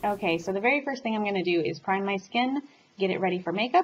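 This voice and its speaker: Her voice comes through somewhat breathy. The speaker is a woman. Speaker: beauty vlogger. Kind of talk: makeup tutorial. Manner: fast; casual, chatty.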